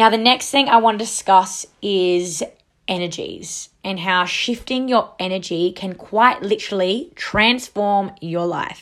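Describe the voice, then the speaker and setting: A woman with an Australian accent, medium pitch, ordinary pitch variation and a fairly slow pace. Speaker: wellness podcast host. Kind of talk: solo casual monologue. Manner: animated.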